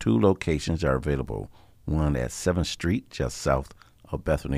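With vocal fry and a very deep, low pitch, the man talks at a moderate pace using ordinary pitch variation. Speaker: radio host. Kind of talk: radio announcements.

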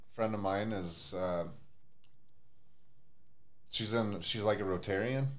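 Speaking slowly with fairly even intonation, a man holds a fairly low pitch.

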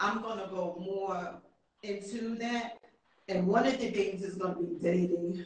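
This woman has a plain, everyday voice at medium pitch, speaking at a fairly slow pace with fairly even intonation. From New York. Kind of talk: interview.

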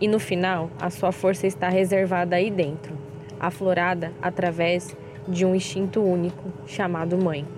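Over noticeable background noise, a woman speaks at a fairly slow pace and a medium pitch. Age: 30s. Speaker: mother sharing pregnancy experience. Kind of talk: testimony.

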